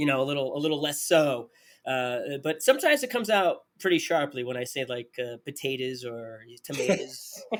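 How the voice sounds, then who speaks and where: A fairly high-pitched man in a New Jersey accent at a moderate pace. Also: ordinary pitch variation. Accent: New Jersey accent, somewhat polished. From New Jersey, US. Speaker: podcast host, cheese expert. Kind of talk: podcast interview.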